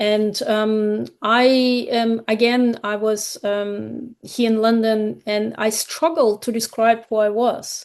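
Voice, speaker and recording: The delivery is very slow and flat in a monotone, with hardly any pauses. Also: woman, fairly high pitch for a woman. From Kazakhstan, then Germany from 1989. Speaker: graphic memoir author. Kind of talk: podcast interview. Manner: halting, many fillers and restarts.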